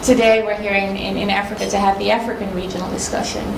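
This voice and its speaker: A woman with a Dutch accent talks at a medium pitch in a monotone, flat intonation. The room echo is audible, and there is noticeable background noise. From Netherlands. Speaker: consultant, workshop facilitator. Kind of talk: conference presentation. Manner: hesitant, many fillers.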